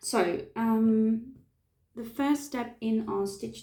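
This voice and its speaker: Her voice is somewhat breathy with a dark, mellow tone. The woman talks at a very slow pace. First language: not English. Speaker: face painter. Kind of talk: tutorial. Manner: halting, many fillers.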